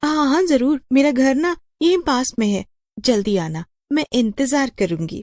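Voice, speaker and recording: A woman uses a high-pitched, cartoonish character voice. She talks at a moderate pace. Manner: gleeful, scheming, mocking.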